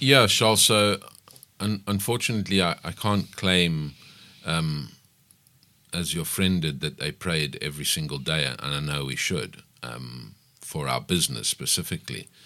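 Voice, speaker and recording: A man with a very deep, low voice speaks at a moderate pace, his bright, sharp tone carrying lively intonation and vocal fry. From South Africa, KwaZulu-Natal (Pietermaritzburg). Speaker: business owner. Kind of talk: radio interview. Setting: radio studio.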